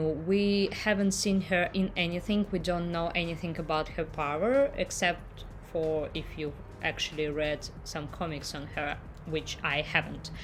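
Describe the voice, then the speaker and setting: A woman speaks at a fairly slow pace with a non-native accent. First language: not English. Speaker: YouTube reactor. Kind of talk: casual vlog intro to camera.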